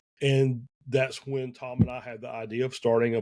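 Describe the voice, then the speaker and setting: Dark, mellow tone from a man at medium pitch. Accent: Southern US. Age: 50s. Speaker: esports team owner. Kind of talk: podcast interview. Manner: hesitant, many fillers.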